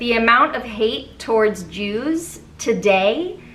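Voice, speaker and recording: A woman with a fairly high pitch speaks at a very slow pace, with audible room echo around her. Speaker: YouTuber, musical theatre video essayist. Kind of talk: casual video review monologue. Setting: home recording with fans and AC off.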